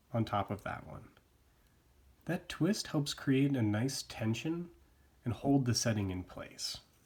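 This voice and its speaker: A somewhat breathy man speaks fairly slowly with lively intonation and long, frequent pauses. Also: medium pitch for a man. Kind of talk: craft tutorial narration.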